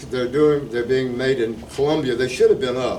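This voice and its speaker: With a South Carolina accent, the speaker is heard against noticeable background noise, with audible room echo. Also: man. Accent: Southern US (South Carolina). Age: 70s. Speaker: retired teacher, local preservation volunteer. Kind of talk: talk at a community meeting. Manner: informal, conversational.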